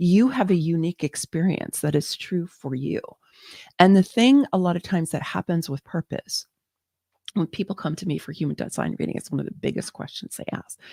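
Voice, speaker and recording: A woman with an American accent speaks at a fairly quick pace in a fairly low, somewhat breathy voice with a dark, mellow tone. Her intonation is lively, and the sound is dry and close with no echo. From US Pacific Northwest, Seattle. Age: 60s. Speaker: spiritual teacher and human design reader. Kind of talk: live online workshop talk. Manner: halting, many fillers.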